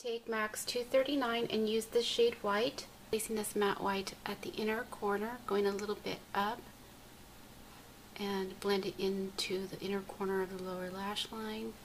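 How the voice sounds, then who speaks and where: A woman speaks at a moderate pace and medium pitch, with fairly even intonation over noticeable background noise. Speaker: beauty vlogger. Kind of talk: makeup tutorial narration.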